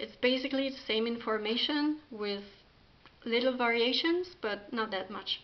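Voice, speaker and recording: The speaker is a woman with ordinary pitch variation. She talks at a fairly slow pace. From France. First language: French. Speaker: spiritual practitioner, video creator. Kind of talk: talk to camera, partly reading an article. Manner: halting, many fillers.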